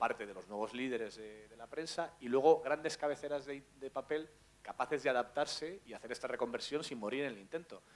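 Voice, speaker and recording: An ordinary speaking voice, this man's pitch is medium and its variation ordinary as he moves at a fairly quick pace. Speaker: journalist. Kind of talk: panel talk.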